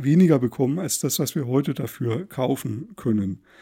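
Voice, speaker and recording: On a very clean recording with a silent background, a man with a fairly high pitch and a dark, mellow tone speaks at a fairly slow pace with ordinary pitch variation. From Thuringia, eastern Germany. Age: 40s. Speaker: psychologist podcast host. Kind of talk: solo podcast monologue. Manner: halting, frequent word repetitions.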